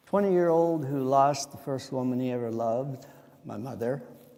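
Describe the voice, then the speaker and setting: Speaking at a moderate pace with an American accent, a man uses a medium pitch and a dark, mellow tone amid audible room echo. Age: 70s. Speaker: church member giving life testimony. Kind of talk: testimony. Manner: halting, with fillers.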